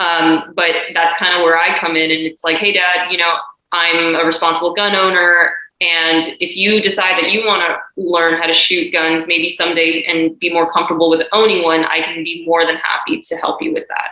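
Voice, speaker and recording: A woman with monotone, flat intonation at a moderate pace. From US West Coast (Monterey Park, California). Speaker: competitive shooter and firearms instructor. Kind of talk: interview.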